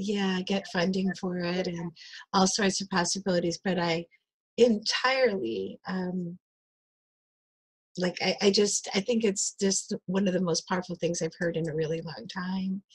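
A woman's somewhat breathy voice at medium pitch, with an enthusiastic, warm tone, ordinary pitch variation and a fairly slow pace, over a quiet background. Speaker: community engagement coordinator; interview host. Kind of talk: interview host conversation. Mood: warm, enthusiastic. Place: home room. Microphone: earbuds.

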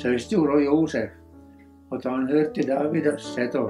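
A man speaks with an Ostrobothnian accent. Music is playing in the background. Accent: Ostrobothnian Swedish dialect. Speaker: reader. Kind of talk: Bible reading in dialect.

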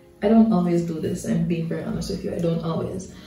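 Audible room echo surrounds a woman speaking with ordinary pitch variation while faint music plays in the background. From Jamaica. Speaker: hair and beauty vlogger. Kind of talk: casual talk to camera. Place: bathroom. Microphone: phone near.

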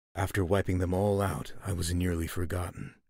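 A man's put-on character voice, very deep and low, solemn in tone, at a moderate pace. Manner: solemn, grave.

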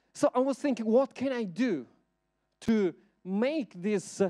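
The voice has a dark, mellow tone and an Italian accent, at a fairly slow pace. The background is quiet. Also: man. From Italy. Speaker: researcher and artist; invited lecturer. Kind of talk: lecture. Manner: halting. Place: hall. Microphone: handheld.

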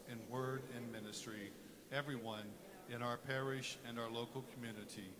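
Over noticeable background noise, a man talks at a fairly slow pace with ordinary pitch variation. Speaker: cantor or music minister. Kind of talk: liturgical welcome and led prayer. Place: church.

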